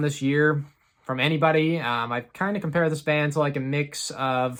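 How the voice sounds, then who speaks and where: A normal speaking voice from a man, moderately paced and pitched fairly high. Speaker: metal music YouTuber. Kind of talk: casual video monologue. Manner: casual, many fillers.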